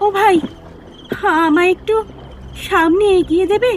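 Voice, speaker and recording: In a put-on character voice, the speaker is soft-spoken and shaky over clear background noise. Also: female-sounding voice, extremely high pitch for a woman. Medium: audio drama. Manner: soft, trembling, repetitive.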